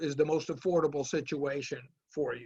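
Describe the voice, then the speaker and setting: A fairly high-pitched man with fairly even intonation against a quiet background. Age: 60s. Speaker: business professor. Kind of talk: webinar Q&A. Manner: halting.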